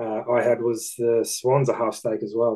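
A man's medium-pitched, dark, mellow voice with an Australian accent at a fairly slow pace. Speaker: betting podcast co-host. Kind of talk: casual chat.

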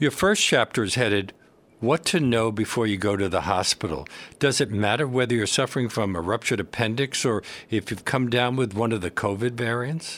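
It is a plain, everyday voice at a fairly quick pace, with ordinary pitch variation. The recording is very clean, with a silent background. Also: man, medium pitch for a man. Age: 60s. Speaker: radio host. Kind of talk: radio interview. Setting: studio.

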